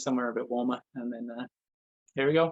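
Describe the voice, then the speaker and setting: A man with a southeast English accent, medium pitch, ordinary pitch variation and a very fast pace. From southeast England, Essex. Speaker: energy healer and spiritual guide. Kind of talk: interview. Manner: talkative.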